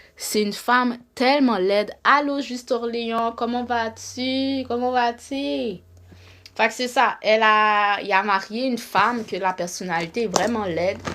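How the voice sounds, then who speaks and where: Bright and sharp in tone, a woman's fairly high voice moves at a fairly slow pace with ordinary pitch variation and big swings in loudness, on a very clean recording with a silent background. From Montreal, Quebec. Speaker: live streamer, relationship commentator. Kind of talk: casual live stream monologue. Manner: animated, repetitive.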